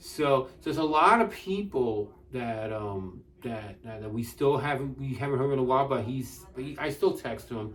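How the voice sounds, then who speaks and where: A man at a medium pitch speaks at a moderate pace with lively intonation and big swings in loudness, with noticeable background noise behind him. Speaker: wrestling show host. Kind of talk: casual chat. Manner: halting, stuttering.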